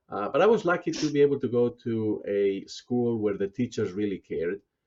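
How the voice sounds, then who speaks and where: This man talks at a fairly quick pace with a Spanish accent. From Spain, small provincial town. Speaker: business school dean. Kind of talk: interview. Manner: halting, many fillers.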